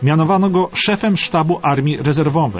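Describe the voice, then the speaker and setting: Faint music plays in the background while a man speaks with lively intonation. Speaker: narrator. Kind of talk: historical documentary radio narration. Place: studio.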